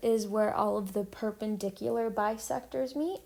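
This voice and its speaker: A woman speaks at a fairly slow pace. Her medium-pitched voice has a dark, mellow tone. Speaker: math teacher. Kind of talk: tutorial. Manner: casual, frequent ums.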